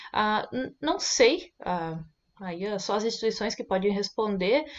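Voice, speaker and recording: Her voice is an unremarkable speaking voice, fairly high in pitch, with lively intonation. The woman speaks at a fairly slow pace. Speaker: online course teacher. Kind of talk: casual vlog monologue. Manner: many filler sounds.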